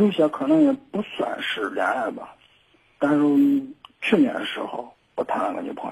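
At a moderate pace, a man speaks with big swings in loudness and long, frequent pauses. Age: 20s. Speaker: caller, businessman. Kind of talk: phone-in conversation. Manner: halting.

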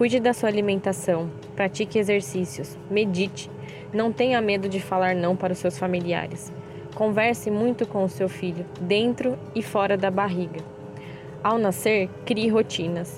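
A woman speaks fairly slowly at a medium pitch, with ordinary pitch variation and very even loudness. It is a plain, everyday voice. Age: 30s. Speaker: mother sharing pregnancy experience. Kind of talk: testimony.

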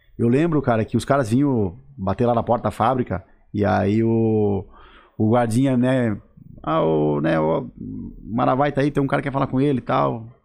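A man speaks in an ordinary speaking voice at medium pitch and a moderate pace. His intonation is lively, his loudness very even, and the background quiet. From southern Brazil, Santa Catarina. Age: 30s. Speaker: sales and fashion business consultant. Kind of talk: casual interview chat.

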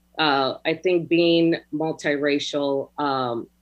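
This woman has a very deep, low pitch. She speaks with monotone, flat intonation. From Hawaii and Los Angeles. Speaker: business owner and mother. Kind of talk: panel interview. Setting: video call.

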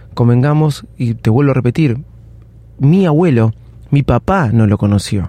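This man speaks in a Rioplatense accent with a dark, mellow tone. His intonation is lively. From Argentina. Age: 40s. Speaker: podcast host. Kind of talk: personal storytelling monologue. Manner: casual, with frequent fillers and self-corrections.

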